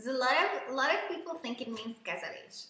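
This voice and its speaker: Animated in tone, a woman speaks at a high pitch in a raised, projected voice at a fairly quick pace. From Hungary. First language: Hungarian. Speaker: English teacher. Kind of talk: live online lesson.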